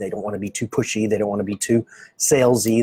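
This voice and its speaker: A man with an American accent speaks in a dark, mellow, somewhat breathy tone, recorded with a dry, close sound and no echo. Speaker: medical practice marketing consultant. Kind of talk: live stream presentation. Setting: office, Facebook live stream. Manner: casual, with many fillers.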